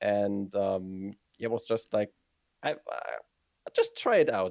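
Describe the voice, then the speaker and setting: A man with a German accent and a dark, mellow tone, in a dry, close sound with no echo. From northern Germany, Hamburg. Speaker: video game streamer. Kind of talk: interview. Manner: halting, many fillers.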